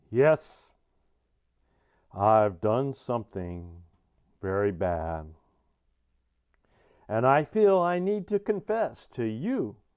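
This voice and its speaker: A man at medium pitch speaks at a very slow pace with long, frequent pauses. His pitch swings very widely. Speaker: RC hobbyist, deaf. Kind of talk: mock confession to camera. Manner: mumbling.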